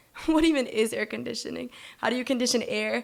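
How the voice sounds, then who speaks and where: A woman is talking. Her pace is fairly quick. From Colombia. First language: Spanish. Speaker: university student storyteller. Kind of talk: personal story reading. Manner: fast.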